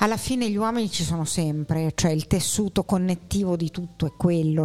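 At a fairly quick pace, the speech carries a dark, mellow tone. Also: woman. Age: old. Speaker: podcast guest, theatre enthusiast. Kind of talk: casual chat about film.

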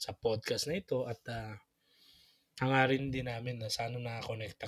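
A man with a plain, everyday voice speaks at a medium pitch and a fairly quick pace. His intonation is fairly even, and the sound is dry and close with no echo. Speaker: podcast co-host, religious brother or priest. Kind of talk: casual chat.

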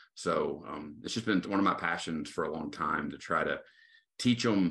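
The recording has a quiet background. In it, a man speaks at a moderate pace. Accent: Texan. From Texas, Tyler. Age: 40s. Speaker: associate pastor. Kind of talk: casual interview. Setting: video call.

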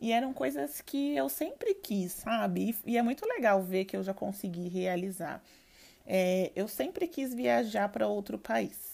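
At a fairly slow pace, a woman speaks at medium pitch in a dark, mellow tone with very wide pitch swings. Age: 20s. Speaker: podcast host. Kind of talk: solo podcast monologue. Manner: casual, relaxed.

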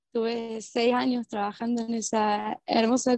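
Heard with a dry, close sound and no echo, a woman with an unremarkable speaking voice and a fairly high pitch talks at a fairly slow pace with fairly even intonation. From Argentina, Córdoba. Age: 30s. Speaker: permaculture practitioner. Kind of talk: casual interview chat. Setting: remote call.

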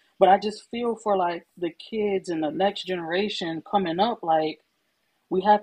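With an American accent and a normal speaking voice, a woman talks at a moderate pace, her medium pitch showing ordinary variation. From Chicago. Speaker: podcast co-host. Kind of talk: casual chat.

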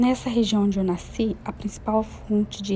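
A woman's fairly high voice in a flat monotone, with noticeable background noise. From Brazil, interior of Minas Gerais. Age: 30s. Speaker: single mother and university student. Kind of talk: personal testimony, read aloud.

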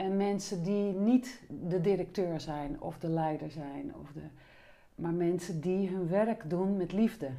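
Speaking at a very slow pace, a woman with a dark, mellow tone and fairly low pitch shows ordinary pitch variation and big swings in loudness. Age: 50s. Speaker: body-oriented psychotherapist and trainer. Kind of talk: interview conversation.

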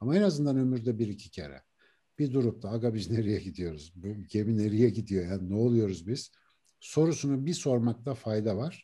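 A man with a dark, mellow tone speaks at a medium pitch with lively intonation. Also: moderate pace, quiet background. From Turkey, Ankara. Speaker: neuroscientist and author. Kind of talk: interview conversation.

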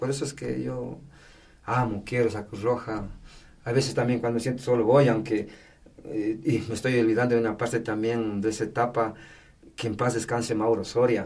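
Vocal fry runs through a man's medium-pitched voice as he talks at a fairly quick pace with fairly even intonation and long, frequent pauses. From Ecuador, Tungurahua (Patate). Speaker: firefighter and Red Cross volunteer. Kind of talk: casual interview, life story.

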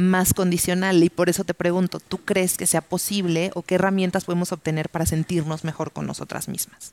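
Dry, close sound with no echo, from a woman with a fairly low pitch. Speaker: podcast host. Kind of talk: casual chat. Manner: animated.

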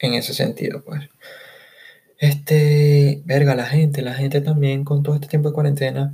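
With a Caracas accent, a man speaks at a moderate pace in a fairly high pitch, his intonation monotone and flat. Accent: Venezuelan Spanish (Caracas). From Caracas, Venezuela. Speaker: podcast host. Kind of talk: casual solo monologue.

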